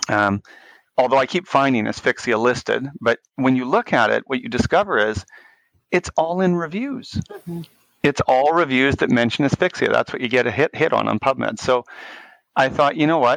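In a Canadian accent, a man with a plain, everyday voice speaks at medium pitch and a moderate pace with lively intonation, in a dry, close sound with no echo. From Canada, Winnipeg, Manitoba. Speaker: neonatal intensive care physician. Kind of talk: podcast interview.

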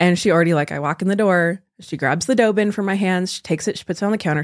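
A woman with an American accent speaks very fast at a medium pitch on a very clean recording with a silent background. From California. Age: 20s. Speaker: college student and bread baker. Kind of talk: casual chat.

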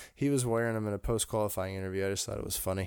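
A man has an unremarkable speaking voice, fairly low in pitch, with fairly even intonation. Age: 20s. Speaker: motorsport podcast co-host. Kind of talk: casual chat.

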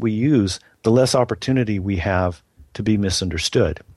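A man's unremarkable speaking voice, fairly low-pitched, with ordinary pitch variation at a moderate pace. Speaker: pastor and ministry author. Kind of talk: interview conversation about ministry.

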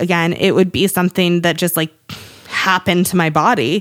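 Using an unremarkable speaking voice, a woman with an American accent talks at a fairly quick pace and a medium pitch. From US Northeast, Cape Cod, Massachusetts. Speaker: podcast co-host, business owner and mother. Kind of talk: casual chat.

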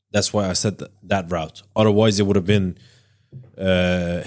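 On a very clean recording with a silent background, a man speaks in a monotone, flat intonation at a fairly low pitch. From Iranian background. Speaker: podcast co-host. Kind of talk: casual chat.

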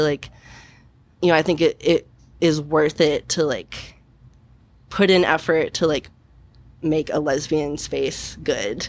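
Speaking with an American accent, a woman uses a very deep, low pitch, fairly even intonation and a fairly slow pace, recorded very cleanly over a silent background. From Missouri, Kansas City. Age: 20s. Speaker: bartender. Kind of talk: interview. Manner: halting.

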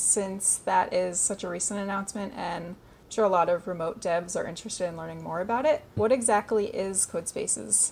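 A woman speaks at a fairly quick pace. Hers is an unremarkable speaking voice. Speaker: podcast host. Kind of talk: interview.

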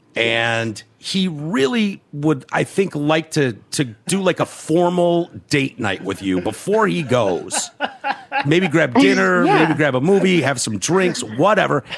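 A man with a fairly high pitch swings his pitch very widely against noticeable background noise. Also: fairly slow pace. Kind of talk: casual chat with swearing.

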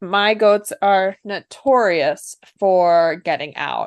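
Against a quiet background, a woman speaks in a normal speaking voice at a medium pitch with ordinary pitch variation. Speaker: podcast co-host, dairy goat breeder. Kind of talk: casual chat.

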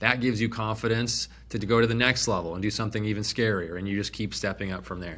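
On a very clean recording with a silent background, a man talks at a very fast pace. His fairly low voice keeps a fairly even intonation. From Phoenix, Arizona. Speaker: real estate investment company CEO. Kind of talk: podcast interview.

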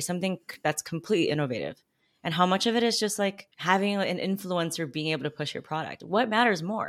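In a very clean recording with a silent background, a woman with an unremarkable speaking voice talks at a fairly low pitch with lively intonation. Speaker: podcast host and PR expert. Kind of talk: interview conversation.

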